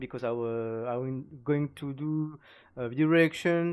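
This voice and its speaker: The recording is very clean, with a silent background. The speaker talks at a moderate pace with a French accent. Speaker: gaming youtuber. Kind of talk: video reaction commentary. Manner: halting, many fillers.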